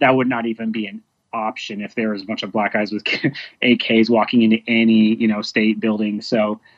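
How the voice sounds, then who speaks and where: A man speaks at a fairly quick pace with an American accent. His intonation is flat and monotone. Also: medium pitch for a man. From Dallas area, Texas. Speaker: protest participant, activist. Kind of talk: interview. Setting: phone or video call.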